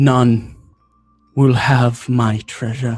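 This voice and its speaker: A man's put-on character voice at medium pitch, monotone and flat in intonation. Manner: eerie.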